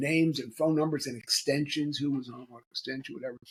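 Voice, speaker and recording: A man speaks with an American accent. His pitch is fairly high and his voice is somewhat breathy. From US Northeast, Philadelphia. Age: 70s. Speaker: author and executive recruiter. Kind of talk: podcast interview. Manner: halting, many repeats and fillers.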